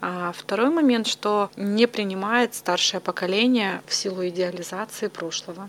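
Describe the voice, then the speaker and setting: A woman speaks at a fairly slow pace with hardly any pauses, her medium pitch moving with ordinary variation, in a dry, close sound with no echo over noticeable background noise. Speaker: psychologist. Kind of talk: interview.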